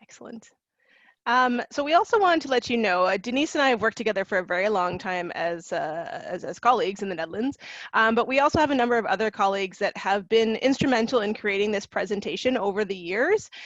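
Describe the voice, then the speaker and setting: A woman with a Canadian accent talks at a very fast pace in a fairly high pitch. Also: lively intonation, quiet background. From Canada. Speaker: university international recruitment officer. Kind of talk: webinar presentation. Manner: hesitant, many fillers and repetitions.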